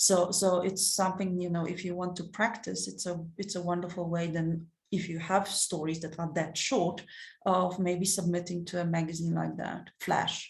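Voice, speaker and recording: Amid audible room echo, a woman speaks at a moderate pace with a fairly low pitch and monotone, flat intonation. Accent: non-native. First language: not English (English is third language). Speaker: short story competition editor. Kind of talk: webinar Q&A. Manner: halting, many fillers and repetitions.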